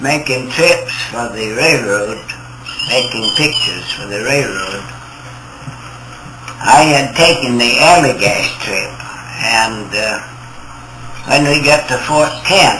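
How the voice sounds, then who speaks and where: Music plays in the background as someone speaks with an American accent at a very slow pace. Long, frequent pauses break up the speech, and the pitch varies in an ordinary way. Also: man, fairly high pitch for a man. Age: 80s+. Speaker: professional photographer and guide. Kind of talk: storytelling reminiscence.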